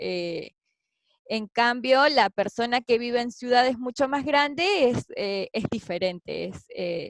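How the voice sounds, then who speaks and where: The speaker has an Argentine accent and lively intonation. The pace is very slow, and the sound is dry and close with no echo. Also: woman, high pitch for a woman. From Argentina (Patagonia). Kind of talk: interview answer.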